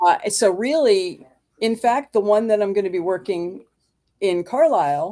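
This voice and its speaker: On a very clean recording with a silent background, a woman speaks in an unremarkable speaking voice at a medium pitch and moderate pace, with lively intonation. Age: 60s. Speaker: horror convention personality and author. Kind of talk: casual interview chat.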